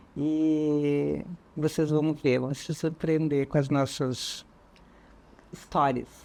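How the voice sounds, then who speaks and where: Her voice sits very deep and low, carrying a dark, mellow tone. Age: 60s. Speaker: hospital clown volunteer. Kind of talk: TV interview.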